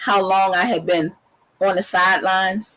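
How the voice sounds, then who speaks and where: A woman's voice at medium pitch, delivered at a moderate pace. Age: 60s. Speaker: debut author and women's empowerment blogger. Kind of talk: interview. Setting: studio. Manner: halting.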